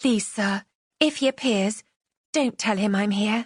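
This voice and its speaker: This is a put-on character voice, raspy and shaky. It moves at a fairly slow pace. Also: female-sounding voice, medium pitch for a woman. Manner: pleading.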